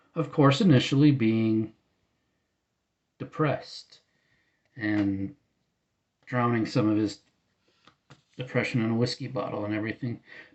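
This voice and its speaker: A man speaks at a moderate pace with long, frequent pauses, his medium pitch showing ordinary variation. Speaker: music vlogger. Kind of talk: casual vlog monologue. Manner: halting, many false starts.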